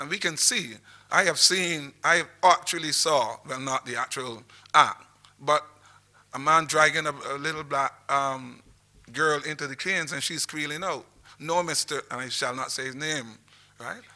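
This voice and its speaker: Speaking at a moderate pace with a Barbadian accent, a man has a bright, sharp tone, fairly high pitch, fairly even intonation and big swings in loudness. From Barbados, St John parish. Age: 60s. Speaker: historian. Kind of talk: lecture. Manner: halting.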